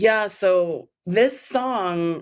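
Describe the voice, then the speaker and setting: A woman speaks with a Californian accent. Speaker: filmmaker and vaccine-injury advocate. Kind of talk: interview.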